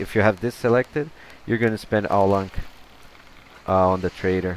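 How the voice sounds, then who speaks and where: A man speaks with a Brazilian accent and ordinary pitch variation. Noticeable background noise runs under his voice. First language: Portuguese. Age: 30s. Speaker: gaming youtuber. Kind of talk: gameplay commentary. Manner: halting, many repetitions; casual, chatty.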